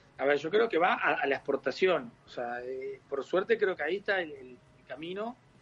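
Lively intonation and big swings in loudness at a moderate pace. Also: man. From Uruguay. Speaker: winemaker. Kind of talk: interview.

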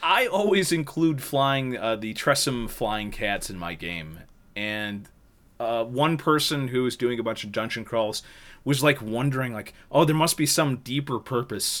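On a very clean recording with a silent background, a man with an unremarkable speaking voice talks at a medium pitch and fairly slow pace, with lively intonation and big swings in loudness. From northern New York. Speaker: podcast host. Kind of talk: casual chat.

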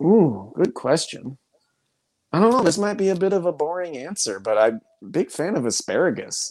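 A man speaks at a high pitch with very wide pitch swings. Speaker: professional soccer player. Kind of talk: casual interview. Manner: fast talker.

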